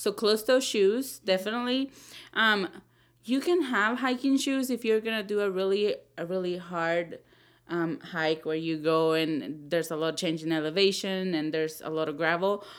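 A woman with a Spanish accent speaks at a moderate pace in a medium pitch, her intonation lively, on a very clean recording with a silent background. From El Salvador. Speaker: outdoor hiking enthusiast. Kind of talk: casual chat.

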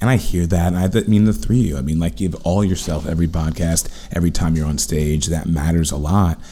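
A man with an American accent and a very deep, low pitch, fairly quick pace, ordinary pitch variation, and noticeable background noise. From New York City, Manhattan. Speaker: comedian. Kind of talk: casual chat.

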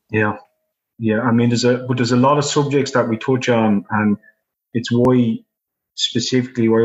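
A man speaks with an Irish accent at a medium pitch. His delivery is monotone and flat at a moderate pace. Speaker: film director.

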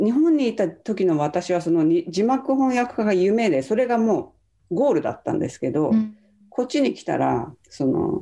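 Her voice is fairly high in pitch, with a dark, mellow tone and very wide pitch swings. The woman keeps a moderate pace. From Japan, Saitama. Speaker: online English coach, former subtitle translator. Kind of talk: casual interview.

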